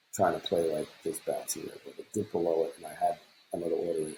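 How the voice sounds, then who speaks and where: A man speaks quietly. His pace is fairly quick. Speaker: futures day trader. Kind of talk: trading recap screen walkthrough. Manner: quiet, low-voiced; casual, rambling.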